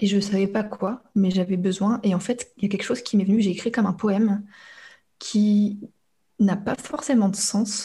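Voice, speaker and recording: This very clean recording has a silent background. A woman speaks at a medium pitch, somewhat breathy. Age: young. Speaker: neuroscience coach. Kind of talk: interview. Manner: halting.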